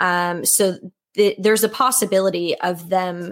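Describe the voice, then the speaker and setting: In a plain, everyday voice, a woman speaks at a fairly slow pace with medium pitch and fairly even intonation. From Nova Scotia, Canada. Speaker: horse podcast host, panelist. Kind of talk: casual roundtable discussion.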